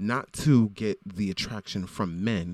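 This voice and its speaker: The tone is animated, with ordinary pitch variation and an American accent. The sound is dry and close, with no echo. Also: man. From South Florida, Broward County. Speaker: podcaster. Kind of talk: casual monologue.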